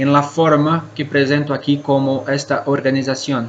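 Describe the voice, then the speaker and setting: Through audible room echo and noticeable background noise, a man with a Brazilian accent speaks at a fairly slow pace and a fairly high pitch. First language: Portuguese (speaking Spanish). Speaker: cave scientist speaker. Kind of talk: conference talk. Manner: halting.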